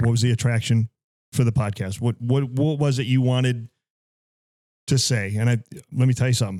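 This man talks at a very fast pace in a medium pitch with fairly even intonation. His tone is dark and mellow. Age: 50s. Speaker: podcast host and police officer. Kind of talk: casual chat.

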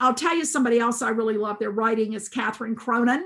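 Very fast speech with a Southern US accent. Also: woman. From US South, rural South Carolina. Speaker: school administrator and education leader. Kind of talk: interview.

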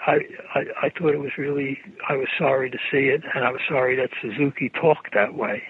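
A man with an American accent, fairly high pitch and fairly even intonation, at a moderate pace with long, frequent pauses, amid noticeable background noise. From Brooklyn, New York. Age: 80s+. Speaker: Zen practitioner and writer. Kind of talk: casual interview chat. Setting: phone call.

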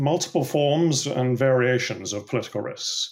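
A man speaks at a medium pitch with a British accent in a very clean recording with a silent background. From England. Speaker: political risk consultant. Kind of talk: interview answers, professional discussion.

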